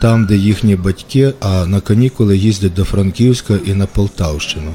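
Noticeable background noise behind a man's fairly low-pitched voice, moderate in pace. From western Ukraine, Ivano-Frankivsk. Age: 40s. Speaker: writer. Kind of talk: scripted narration.

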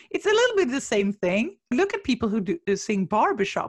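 A woman talks at a moderate pace with a high pitch and very wide pitch swings. The sound is dry and close, with no echo. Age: 40s. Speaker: marketing consultant. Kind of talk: casual chat. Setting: video call. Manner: animated.

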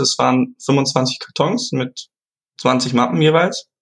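Pitch moves in an ordinary way. There is a somewhat breathy quality to the voice. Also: man. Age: 20s. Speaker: student and product inventor. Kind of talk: interview. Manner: halting, many fillers.

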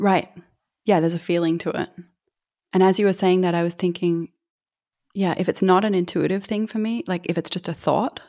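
With an Australian accent, the speaker has a dark, mellow tone and ordinary pitch variation at a moderate pace. The recording is very clean, with a silent background. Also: woman. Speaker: actress and singer. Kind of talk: casual interview.

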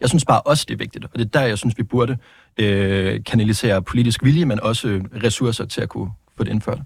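A man's very fast speech at medium pitch, with ordinary pitch variation and vocal fry, in a dry, close sound with no echo and a very clean recording against a silent background. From Denmark, Vejle. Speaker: politician. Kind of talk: political interview. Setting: studio. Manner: halting.

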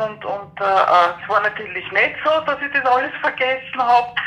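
With music in the background, a woman speaks at a fairly slow pace in a fairly high pitch. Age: 50s. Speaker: person with PTSD sharing experience. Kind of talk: interview testimony. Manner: halting.

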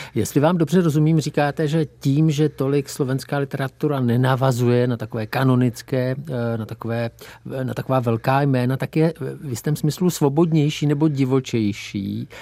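In a very clean recording with a silent background, a man with a dark, mellow tone speaks at a moderate pace and with fairly even intonation. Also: medium pitch for a man. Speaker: radio host. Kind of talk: interview.

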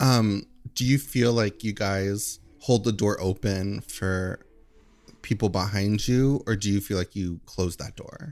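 In a very clean recording with a silent background, a man with a plain, everyday voice and fairly low pitch talks at a fairly slow pace with ordinary pitch variation. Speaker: podcast guest. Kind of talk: casual comedic chat.

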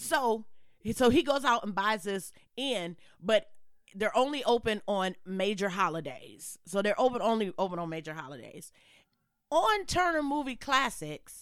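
Her tone is animated, with very wide pitch swings. The woman's voice sits fairly high. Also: moderate pace. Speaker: podcast co-host. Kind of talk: casual chat. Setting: same room, socially distanced.

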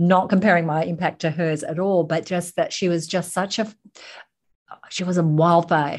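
With an Australian accent, a woman talks at a moderate pace. Her fairly low pitch stays in a monotone, flat intonation. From Sydney, Australia. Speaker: business founder and speaker. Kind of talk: casual interview chat.

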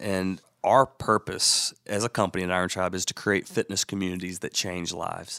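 Bright and sharp in tone, the voice moves at a moderate pace with fairly even intonation on a very clean, silent recording with a dry, close sound and no echo. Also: man. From Alabama, Birmingham. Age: 40s. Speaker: fitness franchise founder. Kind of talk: interview.

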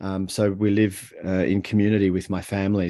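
Against a quiet background, a man speaks with an Australian accent. His pitch is fairly low and his pace is moderate. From Australia, Melbourne. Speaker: author and communication coach. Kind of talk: interview conversation.

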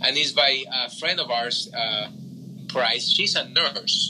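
A man with a Spanish accent speaks at a very slow pace and medium pitch amid noticeable background noise. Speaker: room host. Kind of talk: moderated online group discussion. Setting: Clubhouse audio room.

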